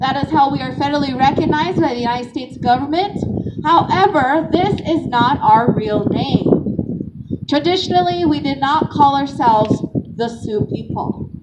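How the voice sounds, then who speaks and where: Noticeable background noise sits behind a woman speaking at a moderate pace. Her voice is high-pitched with lively intonation. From South Dakota, Rosebud Lakota. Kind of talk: educational talk to a live audience. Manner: engaging, interactive.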